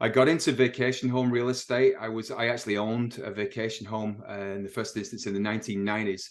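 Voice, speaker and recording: A man with an English accent at a very fast pace, hardly any pauses, fairly even intonation and a quiet background. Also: medium pitch for a man. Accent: English accent, noticeable. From northern England, Manchester. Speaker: realtor. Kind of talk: interview.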